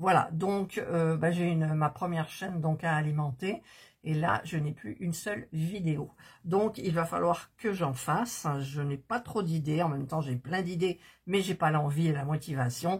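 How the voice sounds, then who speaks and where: A woman talks fairly slowly, her voice somewhat breathy. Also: fairly low pitch for a woman, ordinary pitch variation. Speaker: miniature crafting YouTuber. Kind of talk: casual crafting tutorial chat. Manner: soft-spoken; hesitant, many fillers.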